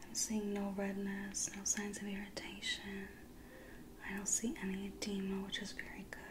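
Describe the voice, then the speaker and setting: Against noticeable background noise, a soft-spoken woman talks with a gentle tone at a moderate pace. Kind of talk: soft-spoken roleplay instructions. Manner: soft-spoken, gentle ASMR clinical voice. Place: home room. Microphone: studio mic.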